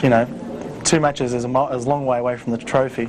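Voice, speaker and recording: A man at medium pitch with fairly even intonation and a very fast pace, over noticeable background noise. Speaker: pool player. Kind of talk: casual studio analysis.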